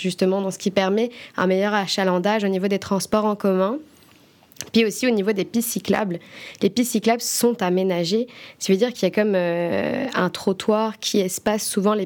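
In an ordinary speaking voice, a woman speaks at a moderate pace and medium pitch with fairly even intonation. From France. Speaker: podcast host. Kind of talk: interview.

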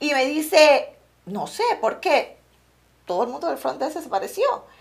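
A woman's voice with vocal fry at a fairly slow pace. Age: 40s. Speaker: real estate agent. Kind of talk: casual interview. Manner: mixes English into Spanish.

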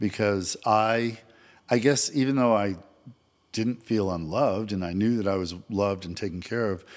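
On a very clean recording with a silent background, a man with an American accent has a plain, everyday voice, a fairly low pitch and ordinary pitch variation. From Vermont, US. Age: 60s. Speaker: mortgage loan officer, father and grandfather. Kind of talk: casual interview chat.

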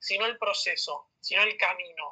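The speaker has a Rioplatense accent. The pace is fairly slow. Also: man. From Argentina, Buenos Aires suburbs (San Isidro). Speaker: business school student. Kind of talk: interview. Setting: remote call.

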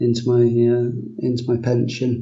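Fairly slow delivery with audible room echo. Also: man. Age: 30s. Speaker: finance worker and blog commenter. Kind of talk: casual interview. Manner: halting.

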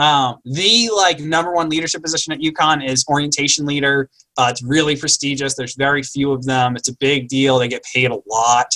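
A man's fairly high, bright, sharp voice at a fairly quick pace, with ordinary pitch variation and hardly any pauses. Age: 30s. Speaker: university residence life staff and podcast co-host. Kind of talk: casual chat.

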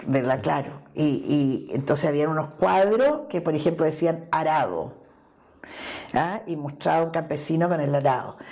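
With audible room echo, a woman speaks at a fairly slow pace in a very deep, low pitch, with ordinary pitch variation. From Chile, Santiago. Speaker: politician and feminist activist. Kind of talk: interview.

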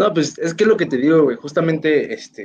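A man with a fairly high pitch talks at a moderate pace in a normal speaking voice, his intonation lively. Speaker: internet radio host. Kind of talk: casual interview. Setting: online live stream.

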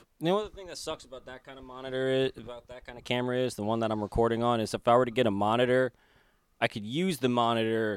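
In a very clean recording with a silent background, a man talks at a very fast pace with a medium pitch and ordinary pitch variation. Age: 20s. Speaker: podcast host. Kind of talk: casual chat. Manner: halting.

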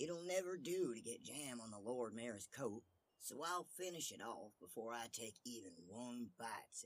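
The passage is read aloud plainly, yet the intonation is lively.

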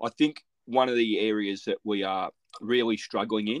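Someone with an Australian accent speaks at a moderate pace with fairly even intonation, the sound dry and close with no echo against a quiet background. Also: man. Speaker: podcast host. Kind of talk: casual interview.

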